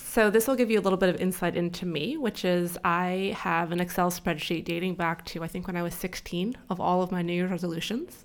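A woman's unremarkable speaking voice with an American accent, fairly low in pitch and fairly even in intonation, at a fairly quick pace with hardly any pauses, in a very clean recording with a silent background. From California. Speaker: business school dean and angel investor. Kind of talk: interview. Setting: studio.

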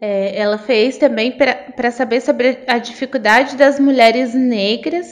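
Female speech over noticeable background noise, pitch moving in an ordinary way. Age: 30s. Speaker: lawyer. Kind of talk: interview conversation.

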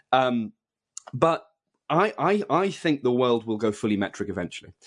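A man with a British accent talks fairly quickly at a medium pitch. The background is quiet. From UK. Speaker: journalist and author. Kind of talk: interview.

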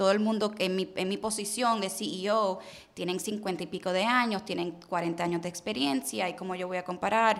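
A woman talks in a normal speaking voice, her pitch medium with ordinary variation and her pace moderate. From Puerto Rico, raised in Miami, US. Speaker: car sales entrepreneur. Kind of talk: interview conversation. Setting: studio.

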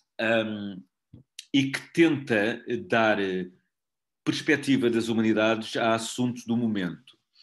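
Long, frequent pauses break up a man's very slow speech, delivered at a medium pitch with ordinary variation. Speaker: student magazine editor. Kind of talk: online editorial meeting.

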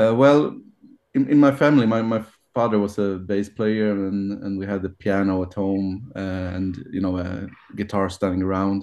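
A man at a moderate pace, a normal speaking voice, fairly low in pitch, with ordinary pitch variation. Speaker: musician, band guitarist and songwriter. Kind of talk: casual interview chat.

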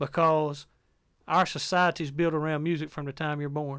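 Speaking at a moderate pace, a man keeps a fairly high pitch. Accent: Southern US. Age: 40s. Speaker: preacher. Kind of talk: interview testimony.

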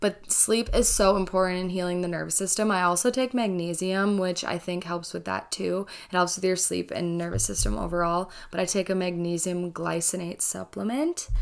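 A woman with a fairly low pitch at a moderate pace, fairly even intonation and hardly any pauses. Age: 20s. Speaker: podcast host, college student. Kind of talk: casual solo monologue. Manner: casual, chatty.

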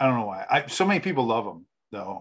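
Against a quiet background, a man with an American accent talks at a fairly quick pace and a medium pitch. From Kansas, US. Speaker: podcast host. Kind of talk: casual interview. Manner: animated.

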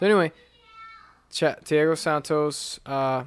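In a normal speaking voice, a man with an American accent talks at a fairly high pitch. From US, urban neighborhood. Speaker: podcast co-host. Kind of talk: casual chat.

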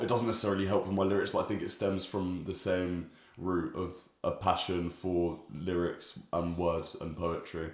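A man speaks with a London accent. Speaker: musician and student. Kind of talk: casual interview.

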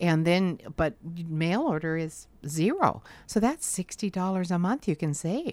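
Fairly low in pitch, this woman has a normal speaking voice with ordinary pitch variation. She goes at a fairly slow pace with hardly any pauses. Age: 60s. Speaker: insurance agent. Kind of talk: casual interview chat. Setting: studio.

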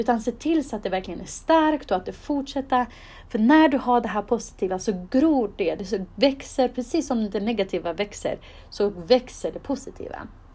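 With a high pitch and a dark, mellow tone, a woman speaks at a moderate pace with lively intonation. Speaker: podcast host. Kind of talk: solo monologue giving advice.

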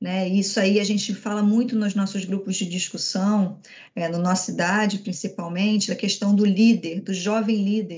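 This woman's voice sits at a medium pitch and is somewhat breathy. She talks at a moderate pace with monotone, flat intonation. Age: 40s. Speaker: corporate events coordinator. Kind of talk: corporate webinar panel talk.

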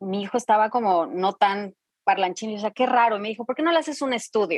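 An ordinary speaking voice with ordinary pitch variation, in a dry, close sound with no echo. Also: woman. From Mexico. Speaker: Spanish teacher and professional voice-over artist. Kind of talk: interview conversation.

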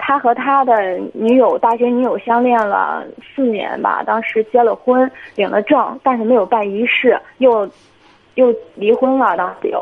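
In an ordinary speaking voice, a woman talks at a fairly high pitch and fairly slow pace with fairly even intonation. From Jinan, Shandong, China. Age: 20s. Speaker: caller. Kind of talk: phone-in advice call.

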